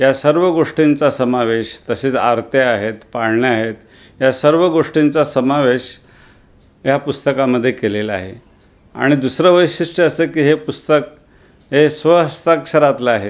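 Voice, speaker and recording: Against a quiet background, a man talks in a plain, everyday voice with a fairly high pitch. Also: ordinary pitch variation. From Kaman village, Vasai area, Maharashtra. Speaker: retired revenue officer and author. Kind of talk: interview.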